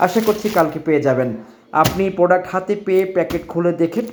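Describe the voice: The pace is fast, with ordinary pitch variation. The tone is slightly mellow. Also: man.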